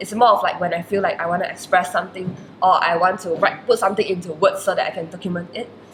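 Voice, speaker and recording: Talking at a very fast pace, a woman keeps a medium pitch and fairly even intonation. Noticeable background noise runs behind her. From Malaysia. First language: Chinese. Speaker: university student. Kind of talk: interview. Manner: hesitant, many fillers.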